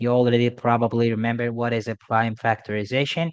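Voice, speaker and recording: A man speaks at a medium pitch over a quiet background. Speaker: math tutor. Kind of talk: tutorial. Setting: at a school. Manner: quiet, held back; casual, hesitant with fillers.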